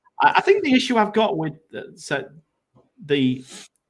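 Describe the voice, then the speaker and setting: The voice is a man's with a northern English accent. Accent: regional northern English pronunciation. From northern England, Grimsby. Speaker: fantasy football content creator. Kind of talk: casual live stream chat.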